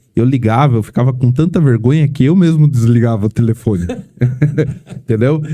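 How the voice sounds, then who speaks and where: Ordinary pitch variation in a man's dark, mellow, medium-pitched voice. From São Paulo state interior, Brazil. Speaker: vehicle protection sales team manager. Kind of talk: podcast interview.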